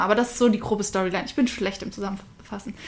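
Her voice is fairly high for a woman, with monotone, flat intonation. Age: 20s. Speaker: podcast co-host, university student. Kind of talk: casual chat.

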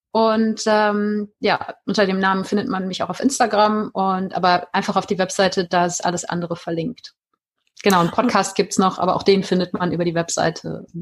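A woman's somewhat breathy voice, fairly quick, with fairly even intonation. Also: medium pitch for a woman. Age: 40s. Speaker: life coach. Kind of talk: interview.

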